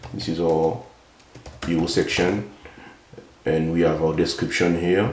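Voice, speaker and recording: A man with a non-native accent and a very deep, low pitch speaks at a fairly slow pace, with ordinary pitch variation and long, frequent pauses. Noticeable background noise and audible room echo fill the recording. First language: not English. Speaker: software developer, tutorial YouTuber. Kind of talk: tutorial. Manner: halting, many fillers.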